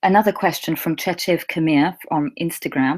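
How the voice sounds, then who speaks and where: A woman speaks with a fairly low pitch. Her intonation is lively. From England. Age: 20s. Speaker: English teacher. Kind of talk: live Q&A chat. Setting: livestream.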